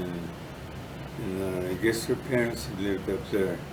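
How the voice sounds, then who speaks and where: A man's speech, with ordinary pitch variation, comes through over noticeable background noise. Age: 80s+. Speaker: Korean War veteran. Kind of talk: interview answer.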